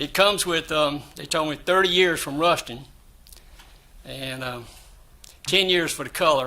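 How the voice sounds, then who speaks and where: Fairly high male voice in a South Carolina accent, at a moderate pace with fairly even intonation. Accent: US Southern (South Carolina). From South Carolina, Florence. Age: 70s. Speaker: building owner / applicant. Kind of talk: public hearing testimony. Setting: city board meeting at podium.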